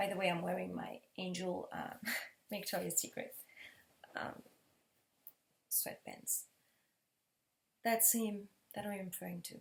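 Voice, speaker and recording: Speaking at a fairly slow pace with a French accent, a woman leaves long, frequent pauses. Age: 30s. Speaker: vlogger. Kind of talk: personal testimony. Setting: living room.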